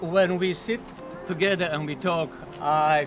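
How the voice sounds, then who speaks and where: An Israeli accent at a fairly slow pace with fairly even intonation, amid audible room echo and noticeable background noise. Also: man. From Israel, Jezreel Valley. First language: Hebrew. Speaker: family friend. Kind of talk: birthday toast. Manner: halting.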